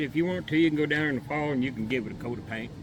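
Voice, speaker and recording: Noticeable background noise is present as a man talks, his pitch varying in an ordinary manner. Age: 70s. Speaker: beekeeper. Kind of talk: casual chat. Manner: halting.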